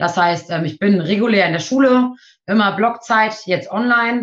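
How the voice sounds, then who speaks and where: Medium in pitch with ordinary pitch variation, a woman speaks in a normal speaking voice. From Nienburg, Lower Saxony. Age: 20s. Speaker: trainee midwife. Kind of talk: interview.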